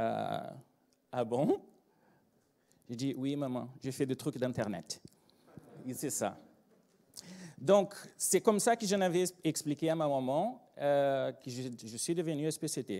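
A man with a Brazilian accent, fairly high in pitch, dark and mellow in tone, lively intonation, very slow pace with long, frequent pauses, quiet background. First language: Portuguese (speaking French). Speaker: agile trainer and consultant; agile trainer. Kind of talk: conference talk. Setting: stage with audience. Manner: animated. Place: hall. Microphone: handheld.

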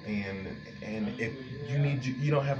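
Clear music plays behind the speaker. A man talks at a moderate pace. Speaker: vlogger describing a shelter resource center. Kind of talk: casual vlog chat. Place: bathroom. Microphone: phone near.

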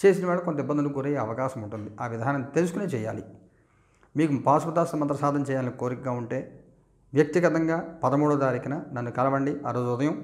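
Against a quiet background, a man speaks in a fairly high pitch with ordinary pitch variation. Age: 50s. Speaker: astrologer and mantra teacher; spiritual teacher. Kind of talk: religious instruction monologue. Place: studio. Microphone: lapel.

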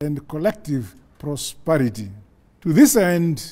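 A man's dark, mellow voice at a very slow pace over a quiet background. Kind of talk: formal national address. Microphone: lapel.

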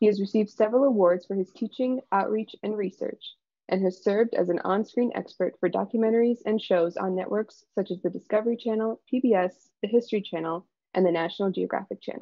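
The speaker has an American accent and ordinary pitch variation. The pace is fairly quick against a quiet background. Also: woman, medium pitch for a woman. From Michigan, Ann Arbor; Michigan. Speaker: PhD student, presenter; presenter. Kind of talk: scripted introduction. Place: home room. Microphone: video call.

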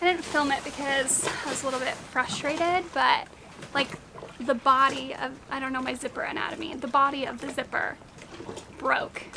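A woman speaks at a moderate pace in a high voice, her intonation fairly even, with noticeable noise behind her. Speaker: sailing vlogger. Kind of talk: casual vlog chat. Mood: mildly annoyed then pleased. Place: boat. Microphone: phone near.

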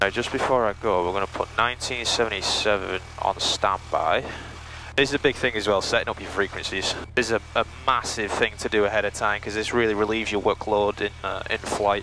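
Fairly low-pitched and fairly even in intonation, a man talks at a fairly quick pace in a dry recording with no echo and noticeable background noise. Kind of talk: casual commentary. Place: plane. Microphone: headset.

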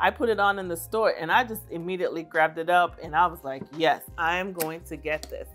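A woman's voice with ordinary pitch variation over faint music in the background. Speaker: beauty vlogger. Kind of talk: casual haul review chat. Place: home room. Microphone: lapel.

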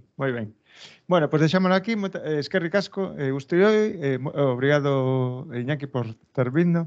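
Against a quiet background, a man with a fairly high pitch talks at a fairly slow pace with ordinary pitch variation. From Galicia. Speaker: research centre host, moderator. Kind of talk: talk introduction and moderation. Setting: lecture hall, hybrid event. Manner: halting. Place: hall. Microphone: podium.

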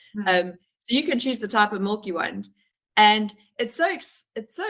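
A woman's bright, sharp tone over a quiet background. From South Africa. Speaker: travel consultant; travel company host. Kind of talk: webinar chat. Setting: video call. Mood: friendly, enthusiastic.

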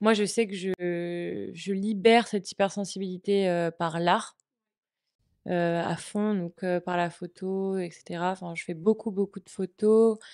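Very slow, monotone speech with flat intonation, a dry, close sound with no echo and a quiet background. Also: woman, medium pitch for a woman. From Brittany, France. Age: 20s. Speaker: communication student. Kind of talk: personal testimony interview. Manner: halting, many hesitations.

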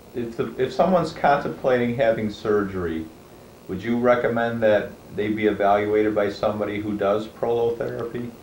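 There is light background noise and audible room echo as a man speaks in a fairly low pitch. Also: ordinary pitch variation, fairly quick pace. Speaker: physician. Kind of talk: interview. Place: studio.

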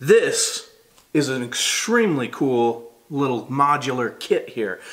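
A man is talking here. His pace is very slow. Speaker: product reviewer. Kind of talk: product review talk. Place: home room.

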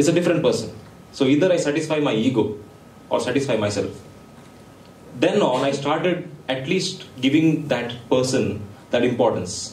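A man with a fairly high pitch speaks in an animated tone with lively intonation and long, frequent pauses. There is audible room echo. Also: moderate pace. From India. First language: Konkani. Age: young. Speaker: entrepreneur and guest speaker; guest. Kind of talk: motivational talk to students. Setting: stage with audience. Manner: animated, interactive with audience. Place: hall.

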